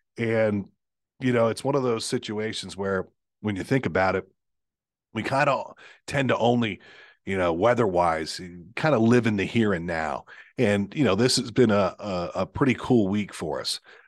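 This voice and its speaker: Against a quiet background, a man speaks at a moderate pace with an American accent. He has a plain, everyday voice with a fairly low pitch. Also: ordinary pitch variation. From Pennsylvania, Lancaster County. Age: 50s. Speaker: TV meteorologist, podcast host. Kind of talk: casual chat. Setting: studio, sharing a microphone.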